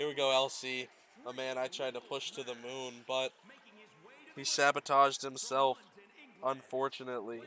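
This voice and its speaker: Over music in the background, the speech moves at a moderate pace with a monotone, flat intonation, big swings in loudness, and long, frequent pauses. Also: man, medium pitch for a man. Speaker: wrestling game commentator. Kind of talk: live commentary. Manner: casual, joking.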